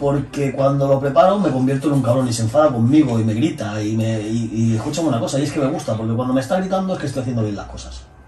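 A man speaks very fast, with hardly any pauses and ordinary pitch variation. Audible room echo and light background noise are present. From Spain. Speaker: bodybuilding coach and former competitor; bodybuilding coach. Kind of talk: casual chat. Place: office.

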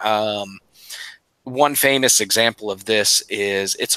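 In a dry recording with no echo and a quiet background, a man speaks at a fairly slow pace with a fairly low pitch, ordinary pitch variation and a bright, sharp tone. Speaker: podcast co-host. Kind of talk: casual chat. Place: home room. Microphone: headset.

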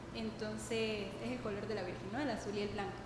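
Noticeable background noise and audible room echo are both present in the recording. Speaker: parish youth missionary. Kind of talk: radio interview. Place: studio.

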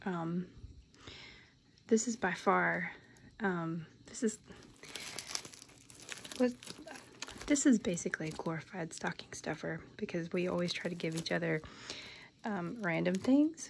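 An American woman speaks softly and fairly slowly, with a fairly low pitch and lively intonation. Long, frequent pauses break her speech over light background noise. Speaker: collector showing items. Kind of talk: casual show-and-tell to camera, reading card text aloud. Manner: soft-spoken. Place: home room. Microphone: phone near.

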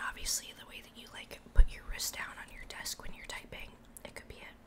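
Whispering at a moderate pace, a woman lets her loudness swing widely. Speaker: ASMR creator and VTuber. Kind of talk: casual talk to camera while eating, ASMR mukbang. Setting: close-mic home recording. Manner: soft-spoken, whispered. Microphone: studio mic.

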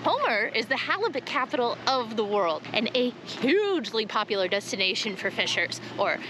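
A woman uses a raised, projected voice, recorded dry with no echo but with noticeable background noise. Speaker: travel vlogger. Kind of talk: casual vlog chat. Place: street. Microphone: phone near.

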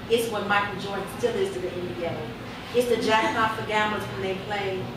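An American accent at a fairly quick pace. There is noticeable background noise and audible room echo. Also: woman. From Chicago. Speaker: poet. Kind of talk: spoken word poetry performance. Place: bar.

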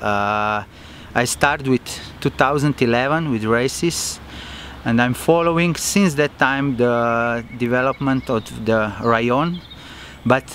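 A very slow voice with ordinary pitch variation, a dry sound with no echo and light background noise. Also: man. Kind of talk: interview answer. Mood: enthusiastic, earnest. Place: open country.

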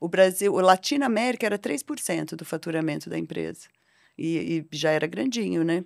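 Against a quiet background, a woman with a fairly low pitch and vocal fry speaks at a moderate pace with lively intonation. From Brazil, Londrina (Paraná). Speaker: technology executive and board advisor. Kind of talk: podcast interview. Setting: studio. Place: studio. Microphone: studio mic.

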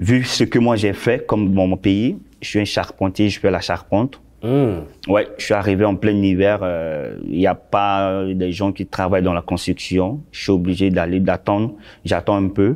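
The background is quiet as a man speaks at a fairly slow pace. His pitch is fairly low, with ordinary variation. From Central African Republic. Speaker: shopkeeper, former carpenter; interview guest. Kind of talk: interview. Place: studio. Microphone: lapel.

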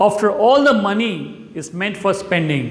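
A man at a moderate pace, with audible room echo. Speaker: presenter. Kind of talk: explainer presentation. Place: studio. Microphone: lapel.

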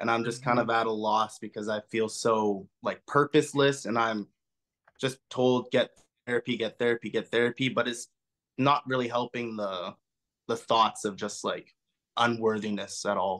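A man's speech proceeds at a moderate pace over a quiet background. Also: fairly even intonation. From western Canada. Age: 20s. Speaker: caller. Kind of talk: call-in conversation. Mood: subdued, vulnerable. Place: home room. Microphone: video call.

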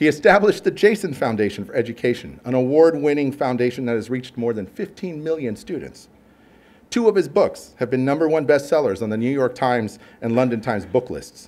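A man talks at a fairly quick pace with an American accent. His intonation is lively. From US West Coast, southern California (Downey); California. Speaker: marine scientist; host introducing the lecturer. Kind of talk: formal speaker introduction. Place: hall. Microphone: podium.

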